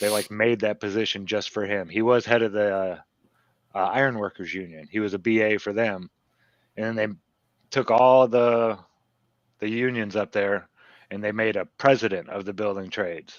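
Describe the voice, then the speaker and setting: Pausing long and often, a man with a Midwestern American accent speaks with fairly even intonation. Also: fairly low pitch for a man, moderate pace. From US Midwest, Northwest Indiana. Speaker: podcast guest. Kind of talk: casual chat.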